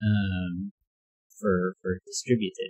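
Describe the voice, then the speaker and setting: A somewhat breathy, mumbling man, with a dry, close sound and no echo. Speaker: puzzle game streamer. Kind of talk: casual livestream chat. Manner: halting, many fillers and repeats.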